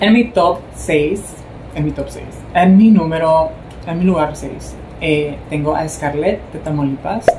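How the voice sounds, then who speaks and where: A woman's very deep, low voice at a very slow pace, with ordinary pitch variation, big swings in loudness and light background noise. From Mexico, Sonora. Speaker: beauty pageant commentator, vlogger. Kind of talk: casual vlog commentary. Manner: animated. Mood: warm, admiring. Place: home room. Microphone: phone near.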